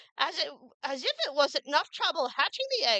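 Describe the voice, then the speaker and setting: Using a put-on character voice, a woman speaks fairly quickly at a high pitch with a dry, close sound and no echo. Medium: read story. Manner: suspicious, complaining.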